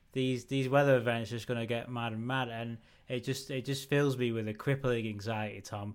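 A man with a northern English accent, medium pitch and flat, monotone intonation at a fairly quick pace, on a very clean recording with a silent background. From northern England. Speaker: podcast co-host. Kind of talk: casual chat.

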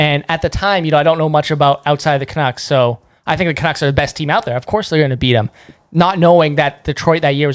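Someone with a Canadian accent talks at a very fast pace in a very clean recording with a silent background. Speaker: sports blogger. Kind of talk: casual chat.

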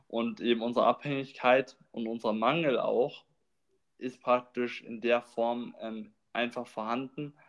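Very slowly and in a monotone, flat intonation, a man speaks at a medium pitch. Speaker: podcast host. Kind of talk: casual chat. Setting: recording room. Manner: rambling, many filler words.

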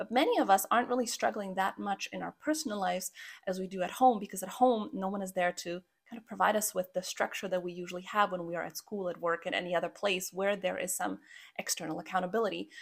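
A woman with a Croatian accent speaks very fast. Her medium pitch shows ordinary variation. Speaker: podcast host and habit coach. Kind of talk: solo podcast monologue.

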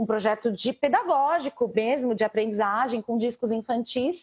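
A woman speaks at a moderate pace. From Brazil, São Paulo (south zone periphery). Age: 40s. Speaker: DJ and schoolteacher. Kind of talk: casual interview. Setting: live stream.

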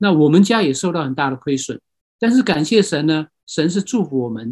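Recorded very cleanly over a silent background with a dry, close sound and no echo, a man speaks at a fairly quick pace with a fairly high pitch and lively intonation. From Myanmar. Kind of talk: lecture. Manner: halting.

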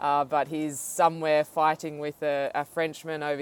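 A woman with an Australian accent, a very deep, low pitch and a flat, monotone delivery at a moderate pace, in dry, close sound with no echo. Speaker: podcast host and professional cyclist. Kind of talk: interview.

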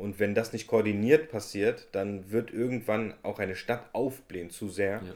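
Moderately paced and fairly low, a man's unremarkable speaking voice shows ordinary pitch variation. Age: 20s. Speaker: podcast host and political candidate. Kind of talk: casual interview.

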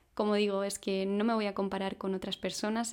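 A woman of medium pitch talks at a fairly quick pace in a monotone, flat intonation. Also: very clean recording, silent background. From Spain (Madrid). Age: 20s. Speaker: podcaster. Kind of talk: personal reflective monologue.

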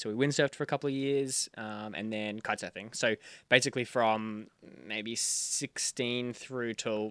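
In a very clean recording with a silent background and a dry, close sound with no echo, a man with an Australian accent speaks at a moderate pace, medium in pitch with fairly even intonation. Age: 20s. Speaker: sailing YouTuber. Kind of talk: casual chat.

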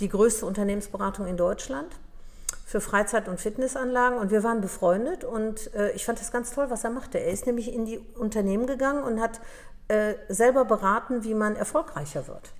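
Here is a woman with a plain, everyday voice and a fairly high pitch. She speaks at a fairly quick pace with ordinary pitch variation. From Upper Silesia, Poland; raised in Germany from 1963. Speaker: dental practice consultant and entrepreneur. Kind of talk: interview.

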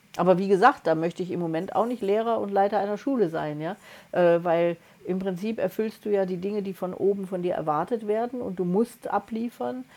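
A woman at medium pitch with an ordinary speaking voice, ordinary pitch variation and a fairly quick pace. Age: 60s. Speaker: podcast co-host, energy coach. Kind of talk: casual chat.

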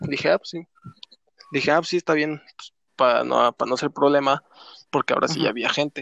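A man's fairly high voice with vocal fry and a Mexican accent, very fast in pace yet broken by long, frequent pauses, with fairly even intonation in a dry, close sound with no echo. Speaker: podcast co-host. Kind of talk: casual chat.

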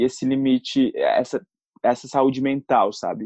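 There is no echo at all as a man speaks, his voice sounding dry and close to the mic. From Brazil, São Paulo city. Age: 20s. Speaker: actor and influencer. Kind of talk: casual interview.

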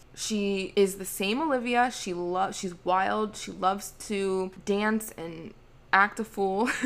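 A woman at medium pitch with a normal speaking voice and fairly even intonation. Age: 20s. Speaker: spiritual wellness podcaster and Reiki healer. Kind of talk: casual solo podcast monologue.

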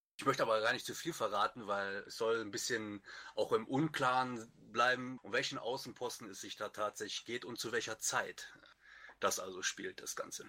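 A man with a Lower Rhine accent, his loudness swinging widely. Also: moderate pace. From Lower Rhine region, Germany. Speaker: wiki maintainer on a writing team. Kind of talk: casual chat.

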